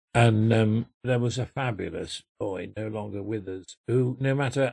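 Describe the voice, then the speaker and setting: Somewhat breathy, a man speaks with a Yorkshire accent. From Yorkshire, England. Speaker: actor. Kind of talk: interview. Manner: hesitant, many fillers.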